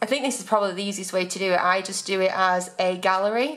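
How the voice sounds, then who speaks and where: A woman speaks with an English accent. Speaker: blogger and business coach. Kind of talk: vlog.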